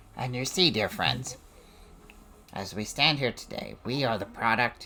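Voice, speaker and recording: Raspy and at medium pitch, a man performs a put-on character voice at a moderate pace over clear background noise. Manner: oratory, rallying.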